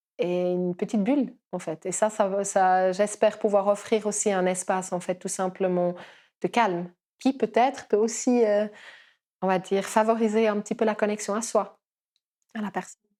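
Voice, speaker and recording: Her voice medium-pitched with a dark, mellow tone, a woman speaks at a moderate pace with fairly even intonation on a very clean recording with a silent background. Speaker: kinesiologist. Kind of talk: podcast interview. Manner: hesitant, many fillers.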